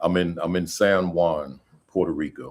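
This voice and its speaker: In a New Jersey accent, a man speaks at a fairly slow pace. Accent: New Jersey American English. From US Northeast, New Jersey. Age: 60s. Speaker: school principal. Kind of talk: casual chat. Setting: video call from hotel room.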